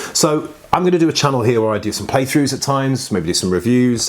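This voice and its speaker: A man speaks at a very fast pace against noticeable background noise. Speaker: board game youtuber. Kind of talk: casual talk to camera. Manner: hesitant, many fillers.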